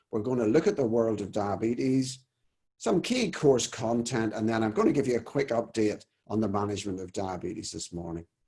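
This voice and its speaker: A man's medium-pitched, dark, mellow voice at a fairly quick pace, with an Irish accent. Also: ordinary pitch variation. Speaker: family doctor and course leader. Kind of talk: webinar presentation. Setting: video call webinar.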